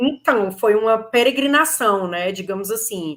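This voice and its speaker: A woman with a Ceará accent at a medium pitch and fairly slow pace, in a very clean recording with a silent background. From Brazil, Ceará. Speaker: lawyer. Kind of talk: interview.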